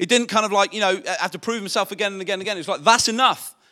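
A man speaks very fast in a raised, projected voice, high in pitch with a bright, sharp tone and fairly even intonation. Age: 40s. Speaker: pastor. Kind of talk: sermon.

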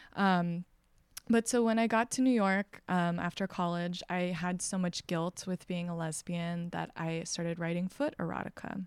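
An unremarkable speaking voice belongs to a woman with an American accent, a fairly low pitch and fairly even intonation at a moderate pace. The sound is dry and close with no echo, in a very clean recording with a silent background. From Texas. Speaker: textile artist. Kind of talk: casual interview. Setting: artist studio.

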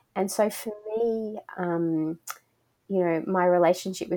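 With an Australian accent, a woman speaks at a medium pitch in a dark, mellow tone and a monotone, flat intonation. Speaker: spiritual director. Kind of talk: interview.

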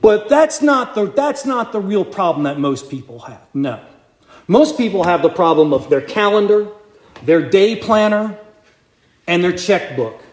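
Speaking fairly slowly, a man uses a high pitch with very wide pitch swings. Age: 50s. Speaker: deacon preaching. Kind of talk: sermon. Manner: conversational.

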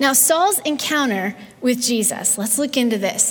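The intonation rises and falls in a lively way. Noticeable background noise sits underneath. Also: woman. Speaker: pastor. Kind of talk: sermon. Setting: church. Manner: gentle.

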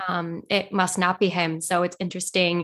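A woman at a medium pitch. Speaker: podcast co-host. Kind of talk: interview.

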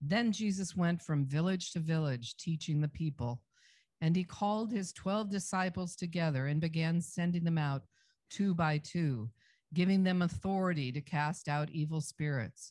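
A woman speaks with a fairly low, somewhat breathy voice. The recording is very clean, with a silent background. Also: ordinary pitch variation, moderate pace. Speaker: scripture reader. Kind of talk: reading aloud.

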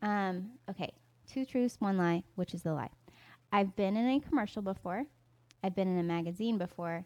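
Speaking at a moderate pace with long, frequent pauses, a woman with a Southern US accent has a medium pitch and ordinary pitch variation, on a very clean recording with a silent background. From US South, North Carolina. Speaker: podcast co-host and YouTuber. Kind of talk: casual chat.

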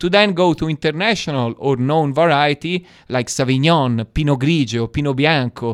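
A man with an Italian accent, fairly high in pitch, at a moderate pace with hardly any pauses and ordinary pitch variation. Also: dry, close sound with no echo. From Italy, Florence. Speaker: wine export manager. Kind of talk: interview.

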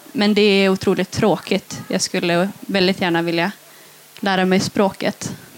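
A woman with a normal speaking voice talks at a moderate pace and medium pitch, with very even loudness and fairly even intonation. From northern Sweden, Tornedalen. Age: 20s. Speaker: young cultural activist and poet. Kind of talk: interview. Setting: festival stage with live audience.

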